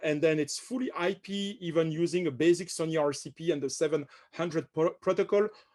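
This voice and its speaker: The speaker has a French accent and ordinary pitch variation, heard over a quiet background. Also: man. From France. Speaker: company director presenting products. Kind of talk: webinar product presentation. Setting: online webinar, on camera. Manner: hesitant, many fillers and repetitions.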